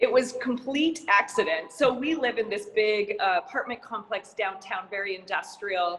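A plain, everyday voice from a woman with an American accent, fairly high-pitched, with lively intonation and a moderate pace. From Montana, US. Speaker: yoga teacher and studio owner. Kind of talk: interview.

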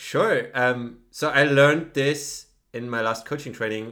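With a German accent, a man of medium pitch talks at a fairly slow pace in a bright, sharp tone with ordinary pitch variation. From Germany. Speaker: podcast co-host. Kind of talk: casual chat.

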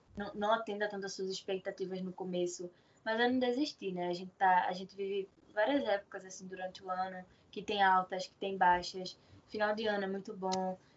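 Her pace is fairly quick. The woman's pitch lands in the medium range. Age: 20s. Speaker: seamstress and small clothing shop owner. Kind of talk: casual interview. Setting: online call. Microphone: unstable connection.

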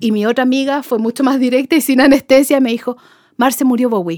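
Over a silent background in a very clean recording, a woman speaks in a high pitch. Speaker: music fan, contributor. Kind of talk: casual chat.

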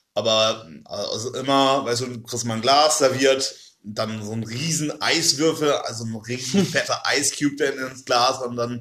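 A man with a plain, everyday voice speaks at a moderate pace, his intonation fairly even but his loudness swinging widely. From Oldenburg, northern Germany. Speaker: podcast guest, student. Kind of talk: casual chat.

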